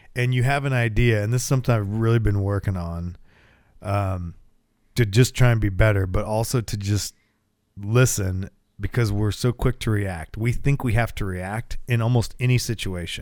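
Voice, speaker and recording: At a moderate pace and with fairly even intonation, a plain, everyday voice comes through on a very clean recording with a silent background. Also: man, fairly low pitch for a man. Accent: American. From US, small town. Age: 30s. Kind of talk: casual chat. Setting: home garage.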